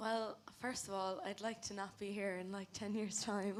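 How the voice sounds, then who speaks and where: In a Cork accent, a woman talks at a fairly high pitch. Her intonation stays monotone and flat. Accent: Irish, Cork. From West Cork, Ireland. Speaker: law student, climate activist. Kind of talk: panel discussion.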